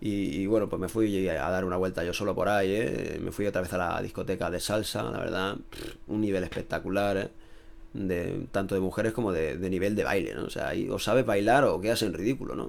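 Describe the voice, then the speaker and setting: There is vocal fry in this man's fairly low voice as he talks at a fairly quick pace with ordinary pitch variation. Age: 30s. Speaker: youtuber. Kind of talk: casual vlog monologue. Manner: animated.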